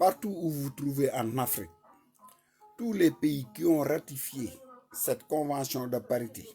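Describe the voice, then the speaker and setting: Music plays in the background as the speaker talks in a Senegalese accent. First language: Wolof (speaking French). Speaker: online commentator. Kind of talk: live stream talk.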